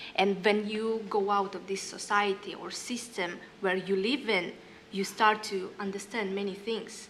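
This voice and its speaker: A woman talks with a Russian accent and monotone, flat intonation. The background is noticeably noisy, and room echo can be heard. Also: medium pitch for a woman, fairly slow pace. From northern Kazakhstan. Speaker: singer and educator. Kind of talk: panel discussion. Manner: halting.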